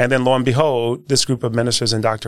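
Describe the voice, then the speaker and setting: Very fast and medium in pitch, a man talks with an American accent. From Milwaukee, Wisconsin (north side). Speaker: investment firm founder. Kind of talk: interview. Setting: studio.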